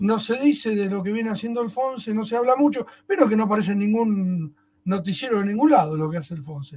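Speaking at a fairly quick pace, a high-pitched man uses lively intonation. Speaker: radio host. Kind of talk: casual chat.

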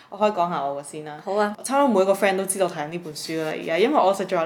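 A woman speaks at medium pitch with ordinary pitch variation. Noticeable background noise can be heard. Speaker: podcast co-host. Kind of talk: casual chat.

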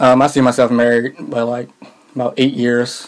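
Over noticeable background noise, a man speaks in a medium-pitched voice with monotone, flat intonation. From Philadelphia. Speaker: podcast co-host. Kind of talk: casual chat.

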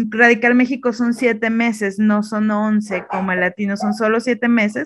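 A woman with a Mexican accent talks in a fairly high, flat, monotone voice. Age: 30s. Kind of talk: interview.

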